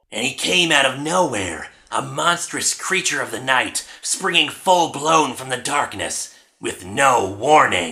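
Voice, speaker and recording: Using a put-on character voice, a man speaks at a fairly slow pace and medium pitch with hardly any pauses. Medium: solo performance. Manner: dramatic.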